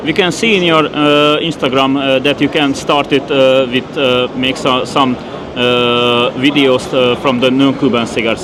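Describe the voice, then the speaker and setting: A man with a Hungarian accent talks at a medium pitch with fairly even intonation, very even loudness and hardly any pauses over noticeable background noise. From Hungary. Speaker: podcast host. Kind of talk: interview. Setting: tobacco trade fair. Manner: halting.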